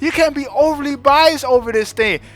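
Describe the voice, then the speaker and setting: A man with an extremely high pitch speaks loudly and in an animated tone at a moderate pace. Noticeable background noise is present. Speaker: anime reviewer youtuber. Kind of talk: casual rant.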